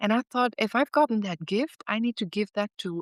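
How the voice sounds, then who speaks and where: A woman speaks with a Dutch accent. Her pitch varies in an ordinary way. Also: dry, close sound with no echo. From Netherlands. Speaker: author and former business executive. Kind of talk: interview testimony. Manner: halting, with fillers and repeats.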